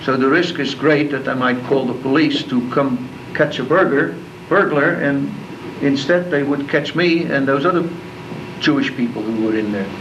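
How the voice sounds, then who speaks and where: With a Dutch accent, a man with a fairly high voice talks at a moderate pace with ordinary pitch variation, amid audible room echo and noticeable background noise. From Netherlands, Rotterdam. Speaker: war survivor. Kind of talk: talk to school class. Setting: classroom.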